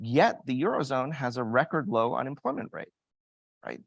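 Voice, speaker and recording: A man with an American accent speaks in an ordinary speaking voice at a medium pitch, with ordinary pitch variation. The background is quiet, and the sound is dry and close with no echo. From United States. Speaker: global investment strategist, panelist. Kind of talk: panel discussion.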